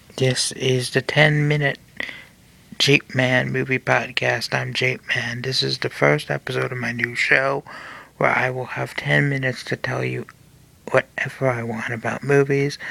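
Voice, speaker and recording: Speaking at a fairly slow pace, a man is heard over noticeable background noise. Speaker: podcast host. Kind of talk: solo podcast monologue. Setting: home recording late at night. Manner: soft-spoken.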